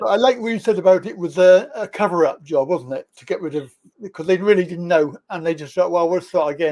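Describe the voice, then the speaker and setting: Talking at a very fast pace with hardly any pauses, a high-pitched man with an English accent shows ordinary pitch variation and big swings in loudness. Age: 60s. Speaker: interviewer. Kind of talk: casual interview chat.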